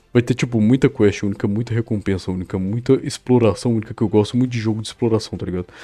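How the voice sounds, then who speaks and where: Dry and close with no echo, a man's dark, mellow voice rushes along at a very fast pace with hardly any pauses and fairly even intonation. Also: medium pitch for a man. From Belo Horizonte, Brazil. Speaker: podcast co-host, game server developer. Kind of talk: casual chat.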